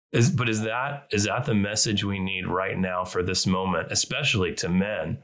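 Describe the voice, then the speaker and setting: The pace is moderate, with ordinary pitch variation. It is a plain, everyday voice. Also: man. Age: 30s. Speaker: podcast co-host. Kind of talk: casual discussion.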